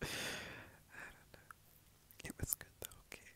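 A man whispers in a gentle tone. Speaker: roleplay boyfriend. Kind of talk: boyfriend role-play ASMR comfort talk. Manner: soft, gentle, whispered.

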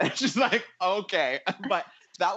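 Moderate-paced speech with a Canadian accent and a quiet background. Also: man. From Ottawa, Canada; Canada. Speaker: panelist. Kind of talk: casual chat. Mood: light, reminiscing. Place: home room. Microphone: earbuds.

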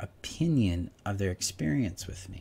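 A man's somewhat breathy voice, fairly low in pitch. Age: 40s. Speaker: relationship coach. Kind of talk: self-help talk. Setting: home video recording. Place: home room. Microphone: studio mic.

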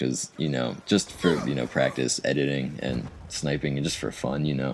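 Very deep and low with vocal fry, a man's voice moves at a fairly quick pace with fairly even intonation. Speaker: gaming video creator. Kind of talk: casual talk to camera. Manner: hesitant, stuttering, repeats words; frequent filler 'you know'.

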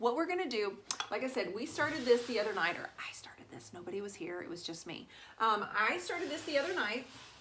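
A woman speaks at a fairly quick pace with very wide pitch swings and a bright, sharp tone. Light background noise is present. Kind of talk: tutorial. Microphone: phone near.

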